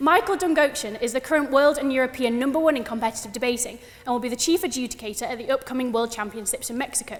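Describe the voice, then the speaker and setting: A woman with a northern English accent speaks very fast in a high voice over noticeable background noise. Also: ordinary pitch variation. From northern England, West Yorkshire near Huddersfield. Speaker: student debater. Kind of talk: formal debate speech. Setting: debating chamber with audience.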